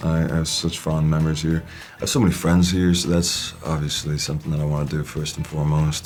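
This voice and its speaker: With music in the background, a man speaks very fast in a very deep, low pitch and a monotone, flat intonation. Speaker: actor. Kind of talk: interview answer. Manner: casual, conversational.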